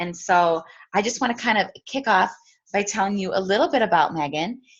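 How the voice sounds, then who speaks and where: Someone speaks with a Wisconsin accent against a quiet background. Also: woman. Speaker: team leader. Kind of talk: casual introduction on video call. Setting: video call.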